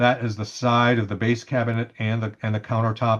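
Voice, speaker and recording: The speaker is a man. His pitch is medium. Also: quiet background. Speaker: CAD drawing instructor. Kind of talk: tutorial. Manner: casual with many fillers and repetitions.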